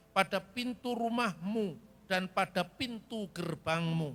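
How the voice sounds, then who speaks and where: Using a raised, projected voice with a bright, sharp tone, a man with a Javanese accent talks at a very slow pace. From Java, Indonesia. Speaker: preacher. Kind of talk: sermon.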